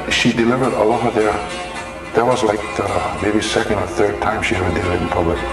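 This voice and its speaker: A man with a fairly low pitch talks at a fairly quick pace amid audible room echo and clear music in the background. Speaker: interviewee. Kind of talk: interview answer. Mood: reflective, warm. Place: garden.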